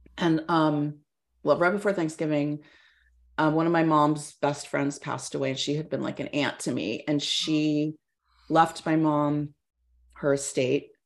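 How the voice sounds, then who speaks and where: A woman with a Californian accent and a very deep, low pitch speaks at a fairly slow pace in monotone, flat intonation, with long, frequent pauses. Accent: Californian American. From Northern California, Mendocino County. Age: 50s. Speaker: fitness coach and athlete. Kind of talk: casual interview.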